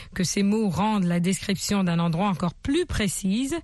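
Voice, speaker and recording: Somewhat breathy and medium in pitch, a woman speaks at a moderate pace. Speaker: radio English teacher. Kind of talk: language lesson. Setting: radio studio. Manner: formal.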